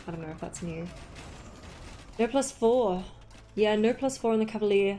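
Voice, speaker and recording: A woman with an Australian accent talks at a fairly quick pace. Music plays in the background. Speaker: esports caster. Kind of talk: live commentary. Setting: live stream. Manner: animated.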